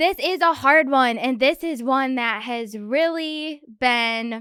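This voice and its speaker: Very slow and bright, sharp in tone, the voice carries a Michigan accent with ordinary pitch variation in a very clean recording with a silent background. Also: woman. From Michigan, US. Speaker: podcast host. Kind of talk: solo podcast talk.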